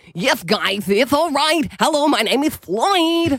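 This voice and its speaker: Someone puts on a high-pitched character voice and delivers it at a fairly slow pace. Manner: quiet.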